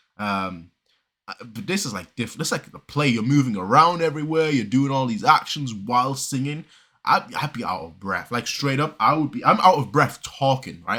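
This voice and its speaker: Bright and sharp in tone, a man with a fairly high pitch uses lively intonation and big swings in loudness. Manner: fast talker, gets out of breath while talking; casual, rambling, many fillers.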